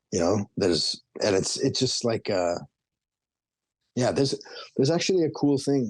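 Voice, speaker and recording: A man with a Canadian accent at a moderate pace, his pitch swinging very widely. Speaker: rapper. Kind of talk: casual interview chat.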